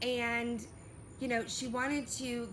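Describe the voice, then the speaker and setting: A woman's fairly high voice in an animated tone, with audible room echo. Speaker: vlogger. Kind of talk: personal storytelling vlog. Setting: outdoors.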